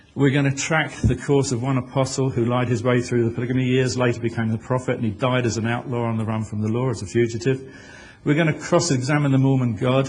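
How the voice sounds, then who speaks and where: A man's medium-pitched, somewhat breathy voice at a very fast pace, fairly even in intonation, with audible room echo. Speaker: author and conference speaker. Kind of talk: conference presentation. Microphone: poor original audio, remixed.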